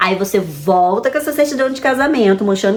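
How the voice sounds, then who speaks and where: Against noticeable background noise, a woman at medium pitch sounds animated, her intonation lively. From Brazil, Rio de Janeiro. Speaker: vlogger. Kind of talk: casual advice vlog. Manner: fast.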